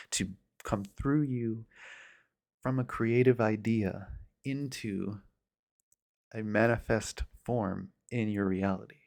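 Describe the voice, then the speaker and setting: A man with a calm tone and medium pitch speaks at a very slow pace, with ordinary pitch variation and long, frequent pauses. The recording is very clean, with a silent background. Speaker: ASMR channel host. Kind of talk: ASMR soft-spoken reflective talk. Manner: soft-spoken, calm.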